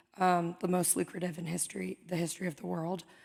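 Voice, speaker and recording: A woman speaks at a fairly quick pace with fairly low pitch and vocal fry. The recording is very clean, with a silent background. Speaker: audience member asking a question. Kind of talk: audience question at live event. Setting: stage with live audience.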